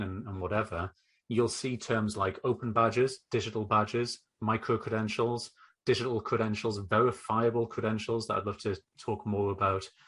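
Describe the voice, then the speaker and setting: Against a quiet background, a man with a northeast English accent speaks at a moderate pace in a medium pitch with ordinary pitch variation. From northeast England. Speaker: educational technology consultant. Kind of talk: podcast interview.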